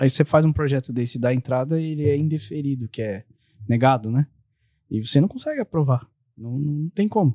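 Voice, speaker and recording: Fairly high in pitch and somewhat breathy, a man speaks at a fairly quick pace in a dark, mellow tone, with a dry, close sound and no echo. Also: ordinary pitch variation. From São Paulo state, ABC region. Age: 40s. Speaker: architect and real estate developer. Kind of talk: casual interview.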